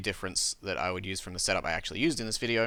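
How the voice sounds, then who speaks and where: Bright and sharp in tone, a man speaks with an Australian accent. The recording is very clean, with a silent background. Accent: scuffed Australian. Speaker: gaming YouTuber. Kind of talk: gameplay commentary. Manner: casual, hesitant with fillers.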